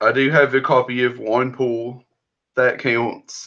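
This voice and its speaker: With a Southern US accent, a man speaks at a medium pitch in a bright, sharp tone against a quiet background. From US South. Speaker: indie comic creator. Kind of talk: interview.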